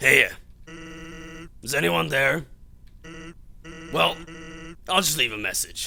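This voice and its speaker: In a put-on character voice, a man sounds raspy at a medium pitch. He goes at a fairly slow pace with long, frequent pauses. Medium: game stream. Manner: drawling, casual.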